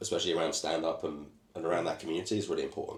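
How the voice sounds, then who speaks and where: A British accent shapes this voice. It belongs to a man. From Britain. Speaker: comedian and comedy club owner. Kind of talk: casual chat.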